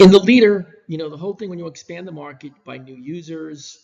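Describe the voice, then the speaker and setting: A man delivers his words at a fairly quick pace in a somewhat breathy voice. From New York. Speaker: business professor. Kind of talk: recorded lecture. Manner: casual, many fillers and restarts.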